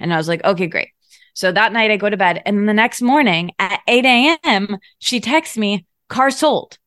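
An unremarkable speaking voice from a woman with an American accent, fairly high in pitch and lively in intonation, with a dry, close sound and no echo. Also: moderate pace. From US Midwest, Michigan. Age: 30s. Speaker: podcast host and writer. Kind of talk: casual chat.

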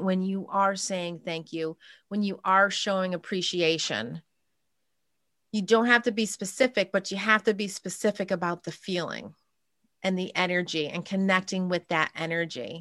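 With an American accent, a woman speaks at a medium pitch and moderate pace, with ordinary pitch variation and a dry, close sound with no echo. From upstate New York. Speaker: spiritual channeler and coach. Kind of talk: interview, casual chat.

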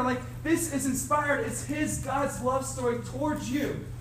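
A man with audible room echo and noticeable background noise. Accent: American. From Cincinnati, Ohio. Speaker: youth ministry staff speaker. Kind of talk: seminar talk.

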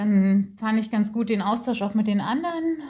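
Her pace is fairly slow and her voice somewhat breathy. The woman speaks at a fairly high pitch. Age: 30s. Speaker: coaching client. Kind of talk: interview.

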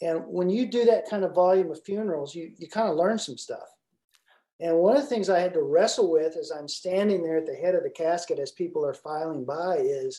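A man with a high pitch and a dark, mellow tone speaks with lively intonation. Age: 60s. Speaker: leadership coach and former pastor. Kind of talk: casual interview.

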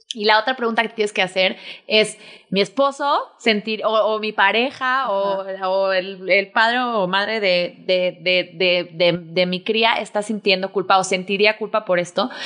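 Bright and sharp, a woman's voice sits at a medium pitch. She talks at a fairly slow pace with fairly even intonation. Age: 30s. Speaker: podcast host and mother. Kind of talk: casual chat.

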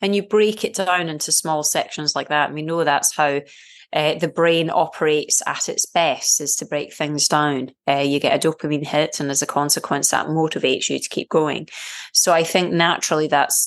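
A woman with a Scottish accent, very deep and low in pitch, at a moderate pace with fairly even intonation against a quiet background. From Scotland. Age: 40s. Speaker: triathlete and screenwriter. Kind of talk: interview.

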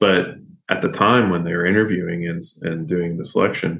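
Audible room echo surrounds the recording. The man's pitch is very deep and low. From Kentucky. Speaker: pastor. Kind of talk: interview conversation.

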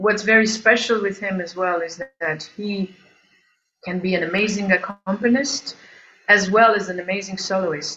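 A woman at medium pitch with an Albanian accent, at a moderate pace. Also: fairly even intonation. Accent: Albanian-European accent in English. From Albania, then Geneva, Switzerland from age 10. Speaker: singer and composer. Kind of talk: interview. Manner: halting.

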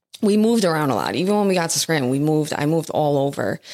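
In an American accent, a woman speaks with a very deep, low pitch. Her pitch variation is ordinary. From New Jersey (Jersey City). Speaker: addiction treatment marketing director in recovery. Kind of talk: casual interview chat. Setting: studio.

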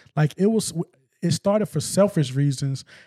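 A man's fairly high, somewhat breathy voice with an American accent, dark and mellow in tone, ordinary pitch variation, a dry, close sound with no echo, and a very clean recording with a silent background. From US South, eastern Arkansas (West Memphis). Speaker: music promoter and nonprofit executive. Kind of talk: casual interview. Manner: halting, many repetitions and fillers.

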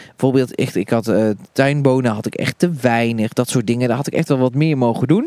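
A man with a normal speaking voice talks at a fairly quick pace and medium pitch, with fairly even intonation and a dry, close sound with no echo. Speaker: gardening podcast co-host, allotment gardener. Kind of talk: casual chat during a garden tour. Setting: outdoors in an allotment garden.

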